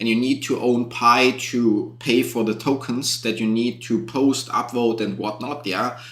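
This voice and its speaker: A man with a German accent speaks at a medium pitch and a fairly slow pace, his intonation monotone and flat, with hardly any pauses. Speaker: YouTube content creator. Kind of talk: live stream Q&A. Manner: casual, with fillers.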